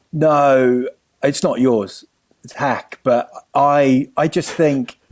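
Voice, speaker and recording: A man speaks with a New Zealand accent. His intonation stays fairly even. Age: 40s. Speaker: comedian. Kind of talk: casual chat.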